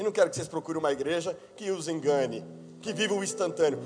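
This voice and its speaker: Speaking very fast, this man has a high voice. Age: 30s. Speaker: pastor. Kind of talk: sermon. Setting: church.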